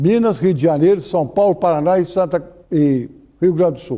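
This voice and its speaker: A man's high pitch carries a dark, mellow tone. His pitch variation is ordinary. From Minas Gerais, Brazil. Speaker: judge, former court president. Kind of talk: oral history interview answer.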